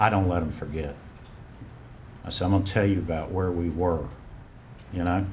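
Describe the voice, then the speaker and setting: A man with a strong Western North Carolina accent and a somewhat breathy, very deep, low voice, going at a fairly quick pace with long, frequent pauses, fairly even intonation and audible room echo. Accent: strong Western North Carolina Southern. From Western North Carolina (Asheville). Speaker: fraternity alumnus speaking at memorial. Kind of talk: personal testimony at memorial ceremony.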